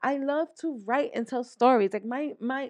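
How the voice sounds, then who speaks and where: A woman with a high pitch speaks at a moderate pace against a quiet background. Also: dry, close sound with no echo. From New York, the Bronx. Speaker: podcast host. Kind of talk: motivational monologue. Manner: animated.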